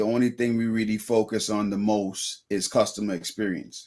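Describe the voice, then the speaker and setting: A man with a strong Bahamian accent, medium pitch and monotone, flat intonation, on a very clean recording with a silent background. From Bahamas (Freeport). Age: 30s. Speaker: business owner. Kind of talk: interview. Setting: live show.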